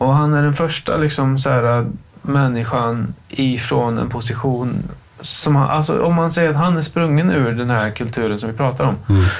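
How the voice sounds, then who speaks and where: Noticeable background noise and audible room echo surround a man's medium-pitched voice. He keeps a moderate pace with ordinary pitch variation. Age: 30s. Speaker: podcast co-host. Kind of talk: casual chat.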